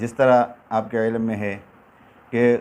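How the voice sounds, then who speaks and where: Using a plain, everyday voice, a man talks at a medium pitch with fairly even intonation. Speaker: Quran reciter and teacher. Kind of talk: religious talk to viewers. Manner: calm, respectful.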